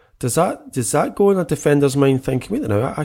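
A man with a Scottish accent and ordinary pitch variation, on a very clean recording with a silent background. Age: 40s. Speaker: football podcast co-host. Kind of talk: casual chat.

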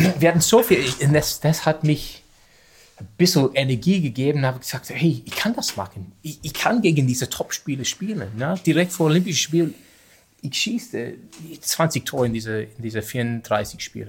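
At a moderate pace, a man with an Australian accent speaks in a fairly high pitch, with very wide pitch swings and big swings in loudness. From Australia, Sydney. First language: English (speaking German). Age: 40s. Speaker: field hockey coach, former international player. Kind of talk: interview in non-native German. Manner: halting, many hesitations.

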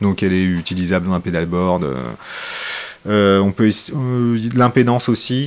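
Over noticeable background noise, a man talks at a fairly slow pace with long, frequent pauses and ordinary pitch variation. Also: fairly low pitch for a man. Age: 40s. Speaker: guitarist. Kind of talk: casual chat.

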